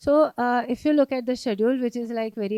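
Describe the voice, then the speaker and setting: A fairly quick, fairly even delivery with an Indian accent, a dark, mellow tone and a dry, close sound with no echo. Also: woman. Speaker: sociology professor. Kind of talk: lecture. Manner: code-switching, many fillers.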